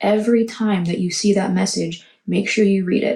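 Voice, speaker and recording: A woman speaks quietly in a dark, mellow tone that is somewhat breathy. Her intonation stays fairly even. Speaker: tarot reader. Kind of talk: tarot reading monologue. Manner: quiet, hushed.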